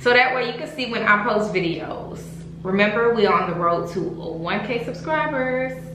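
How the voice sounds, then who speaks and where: Amid noticeable background noise and audible room echo, a woman speaks at a fairly slow pace with lively intonation. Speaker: beauty vlogger. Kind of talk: casual vlog chat. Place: home room.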